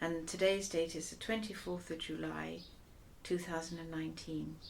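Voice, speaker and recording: Her loudness swings widely from moment to moment. The woman talks at a moderate pace. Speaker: oral history interviewer. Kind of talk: interview questions.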